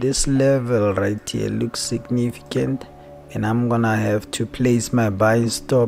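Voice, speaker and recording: A man at medium pitch speaking at a very slow pace over background music. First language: not English. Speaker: trading analyst streamer. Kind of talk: live stream tutorial. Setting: live stream. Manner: casual, repetitive.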